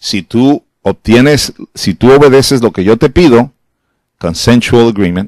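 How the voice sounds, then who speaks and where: A man's medium-pitched voice at a fairly slow pace, dry and close with no echo. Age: 60s. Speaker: preacher. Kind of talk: sermon.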